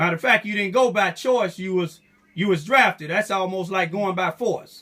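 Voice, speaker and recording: A man's raised, projected voice, high in pitch with ordinary variation, in an American accent. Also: moderate pace. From Southeast Missouri. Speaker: activist. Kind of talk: interview questions.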